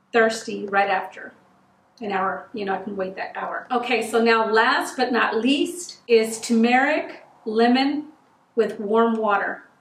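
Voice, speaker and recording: A woman speaking at a fairly slow pace, with audible room echo. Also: ordinary pitch variation. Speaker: home remedy vlogger. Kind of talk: casual vlog chat. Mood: warm, helpful. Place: home room.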